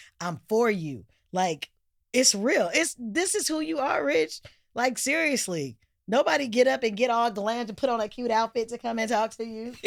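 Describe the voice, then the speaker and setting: Loud and animated, a woman speaks at a fairly high pitch and a moderate pace, with very wide pitch swings. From Oakland, California. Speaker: actress and singer. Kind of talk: casual interview chat.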